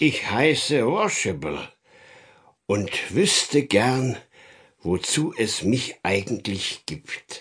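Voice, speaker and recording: Putting on a rumbling character voice at medium pitch, a man speaks at a very slow pace with long, frequent pauses. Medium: read story. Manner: friendly, slow, pondering.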